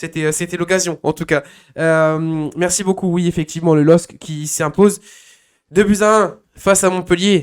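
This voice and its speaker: A man speaks at a fairly slow pace with a high pitch and fairly even intonation. The recording is very clean, with a silent background. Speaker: football talk show host. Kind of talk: live football talk show. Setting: live stream. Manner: hesitant, many fillers.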